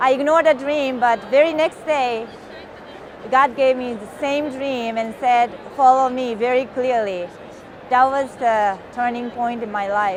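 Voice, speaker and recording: A woman's high voice in a Japanese accent, at a very slow pace with ordinary pitch variation, audible room echo and noticeable background noise. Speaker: missionary. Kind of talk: testimony.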